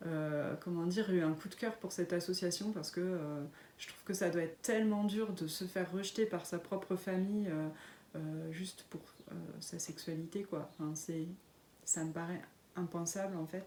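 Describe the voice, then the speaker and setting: Here a woman speaks at a moderate pace. Her fairly low pitch holds a fairly even intonation. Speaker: knitting and sewing podcaster. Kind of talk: casual podcast monologue. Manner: hesitant, many fillers.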